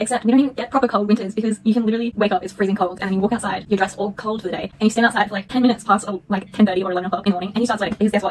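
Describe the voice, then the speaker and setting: The speech runs on with hardly any pauses over noticeable background noise. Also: woman. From Australia. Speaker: book vlogger. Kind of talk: casual vlog talk. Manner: animated.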